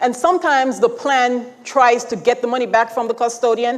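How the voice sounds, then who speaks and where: With a Jamaican accent, the speaker moves at a fairly quick pace with ordinary pitch variation, and there is noticeable background noise. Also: woman. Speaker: retirement account expert presenter. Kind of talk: conference presentation. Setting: stage with audience. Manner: conversational.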